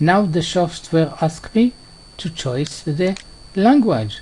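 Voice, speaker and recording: A very slow pace in a non-native accent. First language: not English. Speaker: software tutorial creator. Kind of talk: tutorial. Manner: halting, many fillers and repetitions.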